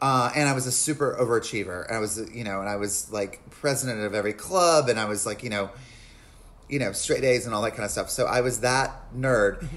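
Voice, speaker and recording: With an American accent and a plain, everyday voice, a man speaks at a fairly quick pace in a medium pitch with ordinary pitch variation. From US South, North Carolina (Lincolnton). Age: 40s. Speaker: comedian and actor. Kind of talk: casual chat.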